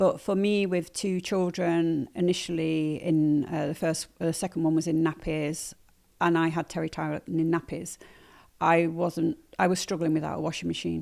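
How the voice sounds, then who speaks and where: Speaking at a moderate pace with a slight northern English accent, a woman has a fairly low pitch and monotone, flat intonation on a very clean recording with a silent background. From northern England, Manchester. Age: 60s. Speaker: nettle weaver and sustainability advocate. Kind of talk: podcast interview. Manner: hesitant, many fillers.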